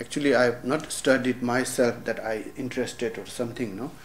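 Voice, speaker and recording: Amid noticeable background noise and audible room echo, a man speaks at a medium pitch. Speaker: lama and Tibetan medicine teacher. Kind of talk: lecture. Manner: halting.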